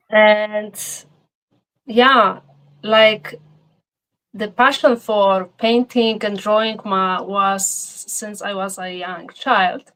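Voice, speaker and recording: Pausing long and often, a woman speaks very slowly at a fairly high pitch, her intonation fairly even but her loudness swinging widely. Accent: Polish. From Poland. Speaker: painter. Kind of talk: interview.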